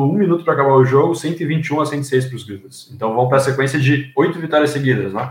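A man talks at a very fast pace with a fairly high pitch and fairly even intonation. His voice is somewhat breathy. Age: 20s. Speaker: journalism student, new podcast panelist. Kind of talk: casual chat.

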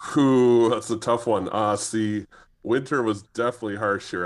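In a very clean recording with a silent background, a man with a Canadian accent talks at a moderate pace with ordinary pitch variation. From Canada. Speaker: futures trader. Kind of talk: casual chat.

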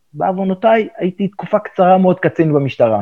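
A man's high, dark and mellow voice with lively intonation, dry and close with no echo. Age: 70s. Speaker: veteran journalist and editor. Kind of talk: interview.

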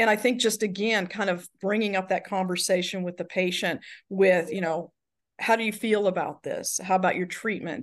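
A woman with an Alabama accent talks at a fairly quick pace and a medium pitch, with fairly even intonation, against a quiet background. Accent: Southern US (Alabama). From Alabama, US South. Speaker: nurse and healthcare director. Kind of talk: interview conversation.

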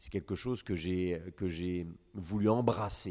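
A man speaks at a moderate pace with a very deep, low pitch and a dark, mellow tone. The recording is very clean, with a silent background. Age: 40s. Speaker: hunting guide. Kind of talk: interview.

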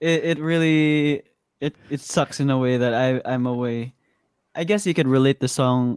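With a Visayan Filipino accent, a man speaks at medium pitch with ordinary pitch variation, in a dry, close sound with no echo. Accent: Filipino (Cebuano) English. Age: 20s. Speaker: musician. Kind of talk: casual chat.

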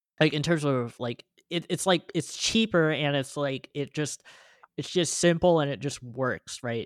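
Dry and close with no echo, a man's plain, everyday voice comes at a fairly slow pace and a fairly high pitch, with ordinary pitch variation. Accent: American. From California. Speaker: podcast host. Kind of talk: casual chat.

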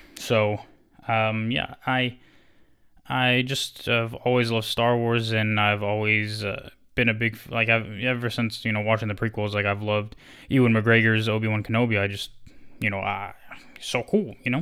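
The recording is very clean with a silent background. A man with a bright, sharp tone speaks at medium pitch and moderate pace in a monotone, flat intonation. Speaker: podcaster. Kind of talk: solo casual monologue. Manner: halting, many fillers.

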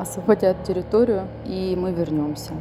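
A woman with a fairly low pitch talks against noticeable background noise. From Donetsk region, eastern Ukraine. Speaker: displaced lawyer. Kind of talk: testimony.

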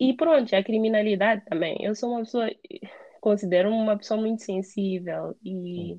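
A plain, everyday voice speaks, its pitch moving in an ordinary way. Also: woman. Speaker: emigrant interviewee. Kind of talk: casual interview. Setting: call.

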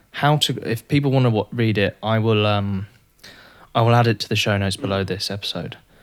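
A man speaks with an English accent. His pitch is fairly low and his intonation fairly even. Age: 20s. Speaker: podcast host. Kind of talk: casual interview.

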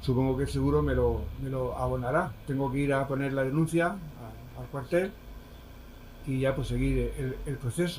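Audible room echo surrounds a man who speaks at a moderate tempo. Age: 70s. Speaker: shop owner. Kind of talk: interview. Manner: halting, repetitive.

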